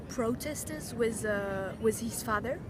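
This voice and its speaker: A woman speaks at a fairly slow pace with a fairly high pitch. There is audible room echo and noticeable background noise. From Paris, France. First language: French and German. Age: 19. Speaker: university student. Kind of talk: self-introduction video. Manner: hesitant, many fillers.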